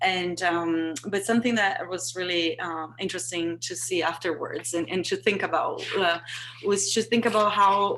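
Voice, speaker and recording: Noticeable background noise sits under a voice with a Portuguese accent, moving at a moderate pace with ordinary pitch variation. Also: woman, medium pitch for a woman. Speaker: artist. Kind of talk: panel discussion. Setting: video call. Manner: halting, many fillers and repetitions.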